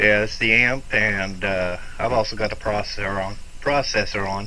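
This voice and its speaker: A man speaks at a moderate pace in a fairly low pitch with fairly even intonation. The room echo is audible. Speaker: ham radio operator. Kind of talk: casual chat. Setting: amateur radio contact. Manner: soft-spoken.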